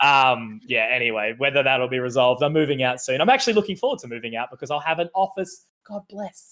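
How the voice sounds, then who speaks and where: With an Australian accent, a man talks at a very fast pace with hardly any pauses, at a medium pitch. His tone is bright and sharp, with lively intonation and big swings in loudness. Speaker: esports commentator. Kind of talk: casual chat. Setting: home stream setup.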